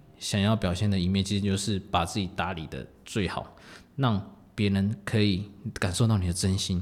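A man talks at a moderate pace in a fairly low voice with fairly even intonation. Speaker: podcast host. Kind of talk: casual solo talk.

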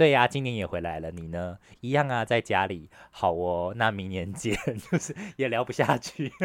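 In a Taiwanese accent, a man speaks at a fairly low pitch and a moderate pace with lively intonation. The recording is very clean, the background silent. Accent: Taiwanese Mandarin. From Taiwan, Taipei. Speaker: podcast co-host. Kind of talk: casual chat.

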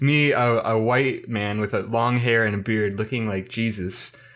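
This man speaks with a Midwestern American accent. His pitch is medium, with ordinary pitch variation. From US Midwest. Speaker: history student. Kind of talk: casual chat.

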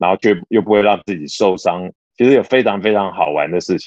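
A man speaks with a very deep, low pitch. His pace is fairly quick, with ordinary pitch variation. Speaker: podcast co-host, office worker and gym-goer. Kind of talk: casual chat.

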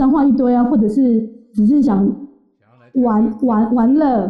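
Here a woman is speaking. Her pitch is high. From Taiwan. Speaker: interview guest. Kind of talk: interview storytelling.

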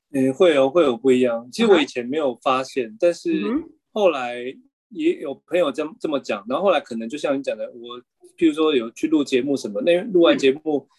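A very fast-talking man in a Taiwanese accent, fairly high in pitch, with lively intonation. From Taiwan, Kaohsiung. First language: Taiwanese Hokkien (speaking Chinese). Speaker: bookshop founder and cultural policy worker. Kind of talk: interview conversation. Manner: hesitant, many fillers.

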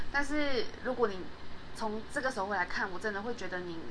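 Noticeable background noise sits behind a woman who talks at a moderate speed. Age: 20s. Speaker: podcast host. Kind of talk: solo podcast monologue. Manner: halting, many fillers.

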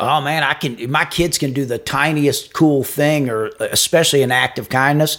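A man with an unremarkable speaking voice talks at a moderate pace and a fairly high pitch with fairly even intonation, in a very clean recording with a silent background. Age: 50s. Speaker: podcast co-host, businessman. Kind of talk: casual chat.

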